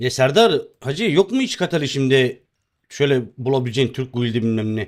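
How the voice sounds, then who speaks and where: In a very clean recording with a silent background, a man speaks at a fairly high pitch with very wide pitch swings. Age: 30s. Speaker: game streamer. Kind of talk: live gaming stream chat. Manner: casual, chatty.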